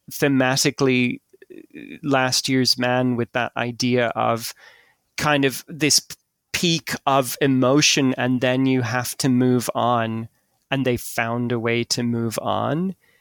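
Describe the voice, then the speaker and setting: A very slow, monotone and flat voice with an Irish accent, dry and close with no echo, in a very clean recording with a silent background. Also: man, medium pitch for a man. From Ireland. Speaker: writer and scientist. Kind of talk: casual chat.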